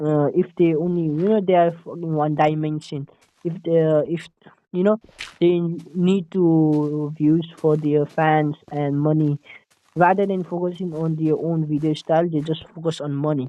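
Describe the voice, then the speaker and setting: A man with a Nepali accent speaks in a monotone, flat intonation. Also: fairly slow pace. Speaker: gaming YouTuber. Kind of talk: casual gameplay commentary. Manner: halting, many fillers and restarts; stutter-like repetitions.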